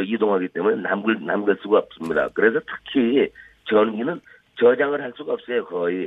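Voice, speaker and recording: Here is a man with an unremarkable speaking voice. His pitch is medium and varies in an ordinary way. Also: moderate pace. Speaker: energy expert, former professor. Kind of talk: phone interview. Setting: phone call.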